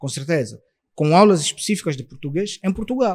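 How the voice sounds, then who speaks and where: Pitched high, a man speaks at a fairly quick pace with very wide pitch swings. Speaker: interpreter and translator. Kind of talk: podcast interview.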